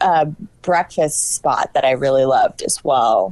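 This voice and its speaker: A woman with an American accent keeps to a moderate pace. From northern Virginia, US South. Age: young. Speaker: actress and film producer. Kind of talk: casual chat.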